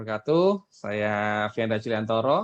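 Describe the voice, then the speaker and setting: A man talks at a moderate pace with a strong Javanese accent. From East Java, Indonesia. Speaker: webinar speaker on marketing. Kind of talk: webinar presentation. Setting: online webinar.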